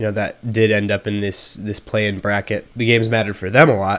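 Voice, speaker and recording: The speaker is a man with a fairly low pitch. He talks at a very fast pace. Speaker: basketball commentator. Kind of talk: casual talk to camera.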